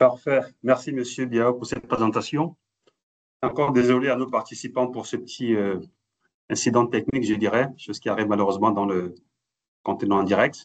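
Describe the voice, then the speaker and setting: A man speaks at a medium pitch with ordinary pitch variation, stopping often for long pauses. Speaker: cybersecurity expert. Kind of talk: webinar presentation. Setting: online webinar. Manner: fast; hesitant, many fillers.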